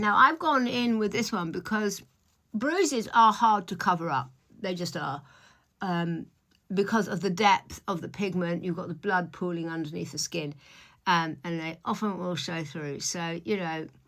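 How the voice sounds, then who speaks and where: A woman with a British accent speaks at a moderate pace in a bright, sharp tone, her pitch fairly low with ordinary variation. The recording is very clean and the background silent. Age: 60s. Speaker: beauty vlogger, stylist. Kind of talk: makeup tutorial vlog. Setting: at home in front of the mirror. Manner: casual, chatty with fillers.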